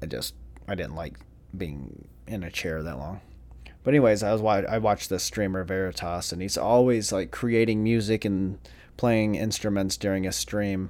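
A man talks in a normal speaking voice at a moderate pace, with a fairly low pitch and ordinary pitch variation. The recording is very clean with a silent background. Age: 30s. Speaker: solo podcaster. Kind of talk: casual solo monologue.

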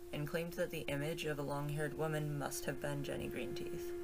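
A woman's voice with audible room echo. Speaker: podcast host. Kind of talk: casual storytelling monologue on folklore. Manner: casual, with frequent fillers and stammers.

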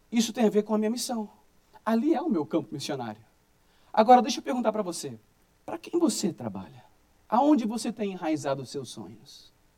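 Pitched high for a man, this speaker talks at a fairly quick pace, with very wide pitch swings, big swings in loudness, and long, frequent pauses. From Brazil. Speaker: pastor. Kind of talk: sermon.

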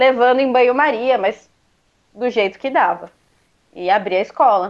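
At a fairly slow pace, a woman talks in a normal speaking voice with fairly even intonation. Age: 20s. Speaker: guitarist and music school owner. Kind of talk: casual interview.

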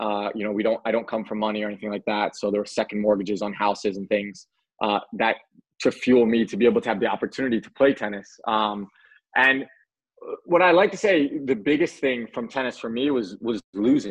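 A man's ordinary speaking voice at a medium pitch, fairly quick in pace, with ordinary pitch variation. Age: 30s. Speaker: former pro tennis player turned fitness entrepreneur. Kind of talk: casual interview.

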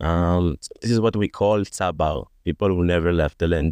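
A man speaks with an Israeli accent at a very deep, low pitch. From Israel, Tel Aviv and Jaffa. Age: 30s. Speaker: digital marketer, podcast guest. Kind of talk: panel discussion.

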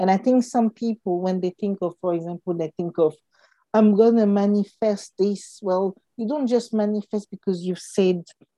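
A woman with a non-native accent speaks at a moderate pace and medium pitch, her dark, mellow tone and fairly even intonation captured in a dry, close sound with no echo. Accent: non-native accent, noted by self. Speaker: podcast co-host. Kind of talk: casual chat.

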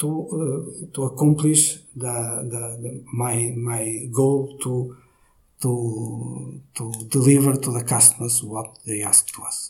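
A very slow delivery in a Portuguese accent, with fairly even intonation. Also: man, medium pitch for a man. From Portugal, Braga. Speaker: IT company director. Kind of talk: interview. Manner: halting.

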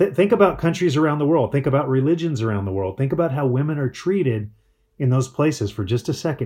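A man races along at a very fast pace, his somewhat breathy voice dark and mellow at a medium pitch, with lively intonation. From Colorado mountains. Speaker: marriage speaker. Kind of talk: conference talk.

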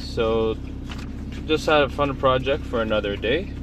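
A man over noticeable background noise. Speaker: podcast host and student. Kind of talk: casual monologue. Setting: in a car at a traffic stop. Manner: rambling with many fillers.

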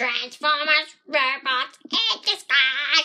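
A put-on character voice with a high pitch moves along at a very slow pace. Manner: dramatic announcer.

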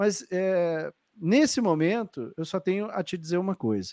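A man talks rather slowly, his voice recorded close and dry, with no echo at all. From southern Brazil, Porto Alegre. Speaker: podcast host and flight attendant coach. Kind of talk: live-streamed interview podcast. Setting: live stream video call. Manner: animated.

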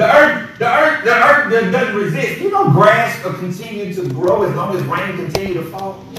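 A man's high-pitched voice, lively in intonation and animated in tone, at a moderate pace over noticeable background noise. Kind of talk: sermon.

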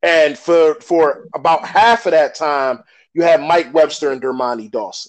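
Using a plain, everyday voice, a man talks at a fairly slow pace with a fairly high pitch. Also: ordinary pitch variation. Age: 40s. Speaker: sports podcast host. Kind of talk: casual chat.

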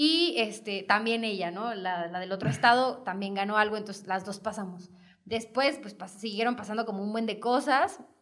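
A woman's fairly high voice at a moderate pace, with ordinary pitch variation, big swings in loudness and noticeable background noise. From Mexico, Hidalgo (Pachuca). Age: 20s. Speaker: model. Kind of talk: casual chat.

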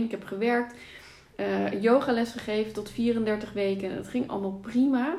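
In an ordinary speaking voice, a woman talks at a fairly slow pace with a fairly high pitch and fairly even intonation. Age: 30s. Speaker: author and pregnancy yoga teacher. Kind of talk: casual interview.

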